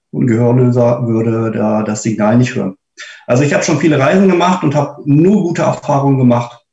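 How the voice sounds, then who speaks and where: With an unremarkable speaking voice at medium pitch, a man talks at a fairly quick pace with lively intonation. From Braunschweig, Germany. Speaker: blind cruise traveller. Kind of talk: casual group talk.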